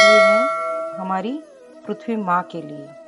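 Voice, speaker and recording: Over music in the background, a woman with a Marathi accent talks at medium pitch. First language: Marathi (speaking Hindi). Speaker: spiritual channel host. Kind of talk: spiritual message to viewers.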